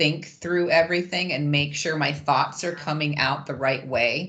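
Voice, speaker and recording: Against a quiet background, a woman speaks at a fairly slow pace in a bright, sharp tone. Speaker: webinar participant. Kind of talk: online discussion. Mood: candid, light. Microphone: video call.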